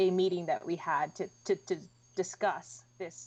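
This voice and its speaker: A woman with a fairly low pitch talks at a moderate pace over a quiet background. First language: Spanish. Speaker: museum collections staff. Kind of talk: livestream museum tour Q&A. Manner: casual, many fillers and restarts.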